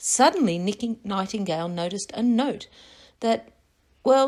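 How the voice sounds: With lively intonation, the reading voice sounds natural.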